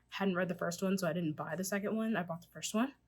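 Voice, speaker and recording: Somewhat breathy, a woman at medium pitch talks at a very fast pace with ordinary pitch variation. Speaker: book vlogger. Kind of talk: casual chat.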